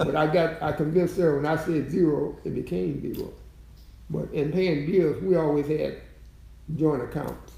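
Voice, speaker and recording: With vocal fry and a dark, mellow tone, a man speaks at a fairly high pitch and moderate pace, using ordinary pitch variation. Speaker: long-married great-grandfather figure. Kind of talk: interview answer.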